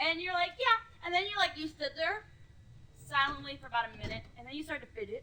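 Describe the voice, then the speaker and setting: With an extremely high pitch, a woman talks very fast in a raised, projected voice, animated and lively in intonation, with big swings in loudness and long, frequent pauses. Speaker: gaming video co-host. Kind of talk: casual chat.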